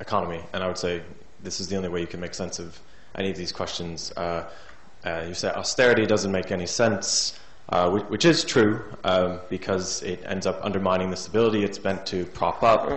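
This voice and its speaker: This man's pitch is very deep and low. He talks at a fairly quick pace in a monotone, flat delivery. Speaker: audience member asking question. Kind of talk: audience question.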